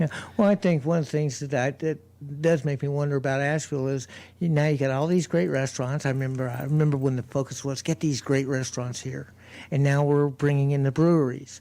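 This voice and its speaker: Very fast and with an American accent, a man talks in a dark, mellow tone at a fairly high pitch with fairly even intonation on a very clean recording with a silent background. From US South. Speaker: street preacher. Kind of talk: radio interview. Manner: halting.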